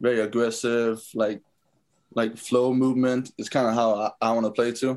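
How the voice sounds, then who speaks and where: A man speaks with a Danish accent at a moderate pace. His intonation is monotone and flat. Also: medium pitch for a man. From Denmark. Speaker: professional football player. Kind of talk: interview.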